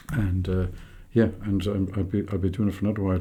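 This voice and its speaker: With a very deep, low pitch and a dark, mellow, somewhat breathy tone, a man talks at a very fast pace in monotone, flat intonation amid audible room echo. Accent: Irish. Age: 60s. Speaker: tour business owner. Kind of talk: podcast interview. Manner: halting, many fillers.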